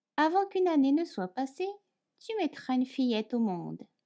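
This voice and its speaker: Speaking in a dark, mellow tone, a woman sweeps through very wide pitch swings. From France. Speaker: French teacher. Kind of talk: fairy tale reading.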